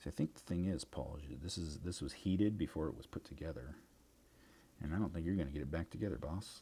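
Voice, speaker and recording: Very fast, a man with a Midwestern accent speaks at a very deep, low pitch with vocal fry, a dark, mellow tone and ordinary pitch variation. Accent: Midwest. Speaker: craft livestreamer. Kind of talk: casual chat while crafting on livestream.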